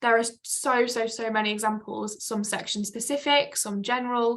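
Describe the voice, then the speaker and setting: A woman speaks in a fairly high pitch. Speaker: volunteer trainer. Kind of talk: online conference talk. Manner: fast.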